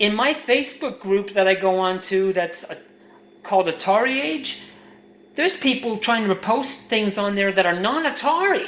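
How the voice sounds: Speaking at a moderate pace, a man uses a high pitch, a fairly bright tone and lively intonation.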